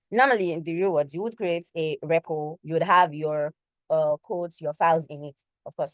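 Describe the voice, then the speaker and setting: Heard in a dry, close sound with no echo, a woman talks at a fairly quick pace in a normal speaking voice with ordinary pitch variation. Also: quiet background. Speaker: cloud computing student tutor. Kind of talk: tutorial.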